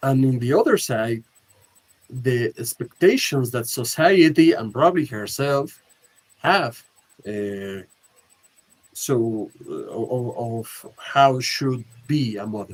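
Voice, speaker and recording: Very slowly and with a Spanish accent, a man at a medium pitch speaks with ordinary pitch variation, big swings in loudness and long, frequent pauses. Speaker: film discussion club host. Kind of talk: casual film discussion. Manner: halting, many hesitations.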